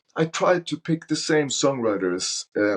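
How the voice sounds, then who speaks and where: A man with a Norwegian accent swings his pitch very widely. The sound is dry and close, with no echo. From Norway. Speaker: soul singer. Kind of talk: casual interview chat. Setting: podcast interview.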